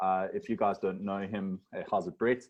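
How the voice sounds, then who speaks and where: At a moderate pace, a man talks with ordinary pitch variation. He has an ordinary speaking voice. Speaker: webinar moderator. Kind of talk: panel introductions.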